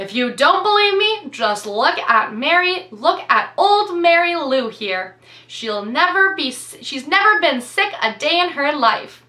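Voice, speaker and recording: This is a put-on character voice at a fairly slow pace. Its pitch swings very widely. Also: woman, extremely high pitch for a woman. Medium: read story. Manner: warm, easygoing salesman.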